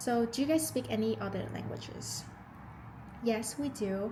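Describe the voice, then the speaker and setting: With an American accent, a woman speaks at a fairly slow pace, and audible room echo surrounds her voice. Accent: slight Vietnamese-tinged American English. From Vietnam. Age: 20s. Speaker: lifestyle vlogger. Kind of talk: casual Q&A chat. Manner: casual, hesitant with fillers.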